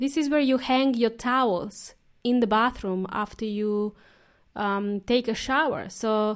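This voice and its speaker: A woman's cheerful, fairly high voice with a European accent, at a fairly slow pace. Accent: non-native European. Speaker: English teacher podcast host. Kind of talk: language lesson podcast monologue. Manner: cheerful, laughs often.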